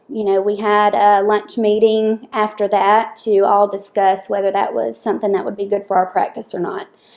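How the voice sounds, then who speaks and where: Here is a woman with a Southern US accent. Her tone is dark and mellow. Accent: Southern US accent, noticeable. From US South, Lower Alabama. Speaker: dental assistant. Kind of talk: casual interview.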